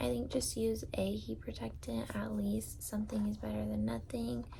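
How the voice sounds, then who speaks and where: Noticeable background noise runs beneath a woman's soft-spoken voice. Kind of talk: ASMR product ramble.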